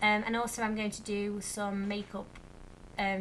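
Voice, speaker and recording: Speaking at a moderate pace, a woman with an English accent has a medium pitch and a bright, sharp tone. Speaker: vlogger, primary school teacher. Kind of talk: casual vlog chat. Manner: hesitant with many fillers.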